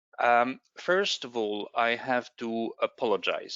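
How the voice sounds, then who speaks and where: A man with a non-native accent, speaking at a very slow pace. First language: not English. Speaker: space agency expert. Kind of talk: presentation. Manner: halting.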